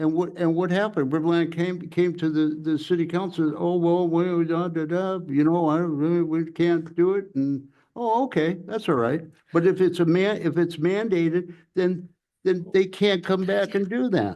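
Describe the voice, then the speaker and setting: The voice has a dark, mellow tone. It keeps a moderate pace and fairly even intonation. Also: man, high pitch for a man. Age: 70s. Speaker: planning commissioner. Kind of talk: public meeting discussion. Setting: city planning commission meeting. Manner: halting, repetitive.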